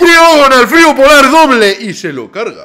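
Animated in tone, a man talks at a fairly slow pace. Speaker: gaming youtuber. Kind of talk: live gameplay commentary. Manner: animated, exclamatory.

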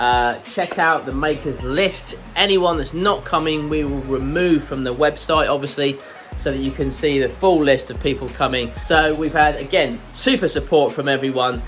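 A man talks at a moderate pace. Faint music plays in the background. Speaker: maker channel host. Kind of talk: casual vlog chat. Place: workshop. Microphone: phone near.

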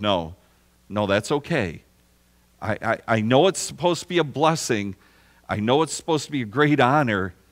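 Over a quiet background, the man keeps a moderate pace. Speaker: preacher. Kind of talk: sermon. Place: church.

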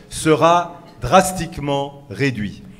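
A man talks, his pitch rising and falling in an ordinary way. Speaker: political meeting chair and speaker. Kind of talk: political rally speech. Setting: stage with audience. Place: hall. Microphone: podium.

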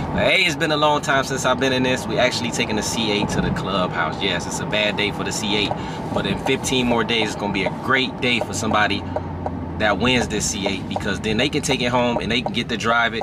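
Over loud background noise, the voice moves at a fairly quick pace with ordinary pitch variation, and the sound is dry with no echo. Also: man. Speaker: car vlogger driving. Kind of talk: casual vlog chat. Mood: happy, excited. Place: car. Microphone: phone near.

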